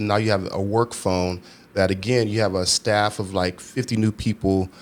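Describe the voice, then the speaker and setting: An unremarkable speaking voice with an American accent, moderate pace and ordinary pitch variation. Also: man. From Texas, Houston. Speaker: nightclub operations manager. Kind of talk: casual chat.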